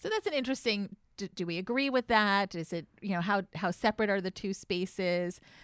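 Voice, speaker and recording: At a moderate pace and medium pitch, a woman with an American accent speaks in a normal speaking voice, recorded dry and close with no echo against a very clean, silent background. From Connecticut. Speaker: rabbi. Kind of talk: casual chat.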